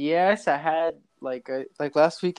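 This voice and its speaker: In an American accent, a man speaks at a high pitch with ordinary pitch variation. The sound is dry and close, with no echo. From Los Angeles, California. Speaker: rapper and music producer. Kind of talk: casual chat.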